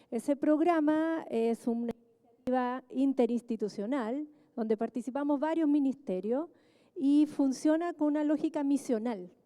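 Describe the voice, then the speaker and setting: A woman speaks softly at a fairly slow pace in a high voice with ordinary pitch variation, and the sound is dry and close with no echo. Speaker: government official, economist. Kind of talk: panel talk. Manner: soft-spoken; halting with fillers. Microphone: quiet, asks for volume up.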